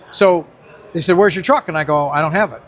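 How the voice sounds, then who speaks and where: A man talks very fast while noticeable background noise carries on around him. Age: 80s+. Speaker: retired drag racing driver. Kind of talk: casual interview, storytelling. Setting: car show.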